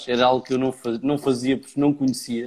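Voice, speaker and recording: This man talks in a dark, mellow tone with a monotone, flat intonation. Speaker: podcast host. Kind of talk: casual interview chat. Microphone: may be poor audio quality.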